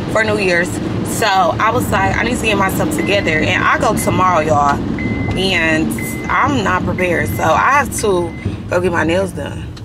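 Loud background noise fills the space while a woman talks at a moderate pace. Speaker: vlogger. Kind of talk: casual vlog chat. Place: car. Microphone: phone near.

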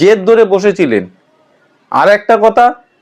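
An animated man with a high voice. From West Bengal. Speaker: political commentator. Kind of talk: political commentary monologue.

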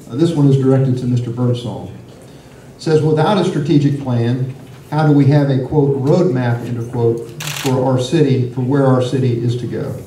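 The speech moves at a moderate pace. Audible room echo and light background noise are present. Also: man, medium pitch for a man, fairly even intonation. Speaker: forum moderator. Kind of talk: moderated forum. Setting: stage with audience. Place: meeting room. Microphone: camera far.

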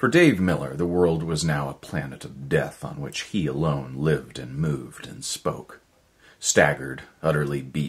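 The voice carries vocal fry and moves at a moderate pace. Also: man. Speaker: voice actor. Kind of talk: audiobook short story reading. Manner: measured narration. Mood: measured, dramatic storytelling. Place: home room.

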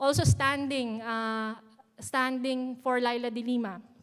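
A woman's high-pitched voice with a Filipino accent. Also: quiet background. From Philippines. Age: young. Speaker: youth activist; speaker. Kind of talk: prepared speech. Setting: stage with audience. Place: hall. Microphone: podium.

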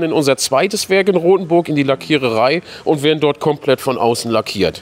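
Man with lively intonation at a fairly quick pace. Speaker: sales director. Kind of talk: guided factory tour chat. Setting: workshop hall. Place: factory. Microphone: phone near.

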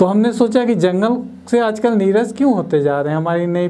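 Here a man talks at a fairly slow pace. His intonation is lively. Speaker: guest. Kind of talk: interview answer. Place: studio. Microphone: lapel.

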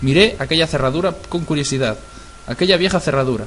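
Very rapid male speech over noticeable background noise. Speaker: creepypasta narrator. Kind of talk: scripted horror story narration, first person; ghost story telling, tense and hushed, building dread.

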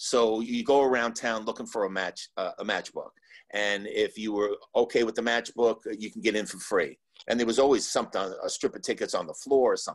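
Against a quiet background, a man with an American accent talks at a fairly quick pace. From New Jersey, Cliffside Park. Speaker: former park worker. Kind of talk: panel interview. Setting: video call. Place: home room. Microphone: video call.

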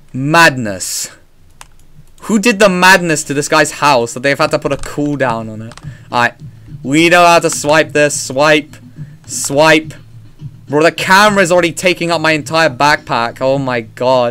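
At a fairly slow pace, a man with a fairly high voice speaks with ordinary pitch variation and long, frequent pauses. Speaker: gaming streamer. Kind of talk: live gameplay commentary. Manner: loud; animated. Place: home room.

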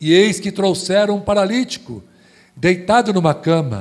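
Against a quiet background, a man talks in an animated tone at a fairly slow pace. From Brazil, São Paulo. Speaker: preacher. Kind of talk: sermon. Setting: church. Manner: animated, exhorting, rousing call-and-response to the congregation; loud, fervent, rhythmic preaching with repeated phrases. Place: church.

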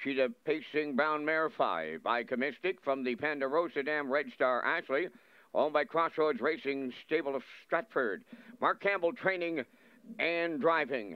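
Using an ordinary speaking voice, a man talks fairly high in pitch, his pitch varying in an ordinary way. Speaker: race caller. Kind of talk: live commentary.

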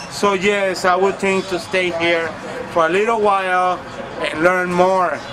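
Fairly slow and monotone, with flat intonation, a man speaks at a high pitch through noticeable background noise. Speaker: interviewee. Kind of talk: comedic interview answer. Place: street. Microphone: phone near.

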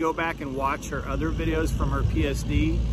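Noticeable background noise behind a man's dry, echo-free voice. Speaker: truck driver vlogger. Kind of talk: casual vlog monologue. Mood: upbeat, appreciative. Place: street. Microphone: phone near.

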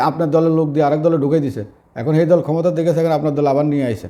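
A man speaks in a fairly high voice with a dark, mellow tone. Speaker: social media commentator. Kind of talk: political commentary monologue. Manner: informal, colloquial with dialect words.

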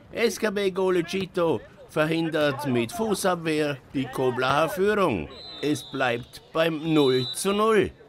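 With a playful tone and ordinary pitch variation, a man speaks against noticeable background noise. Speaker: sports commentator. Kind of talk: live-style sports commentary over match highlights. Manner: punchy, colloquial, playful.

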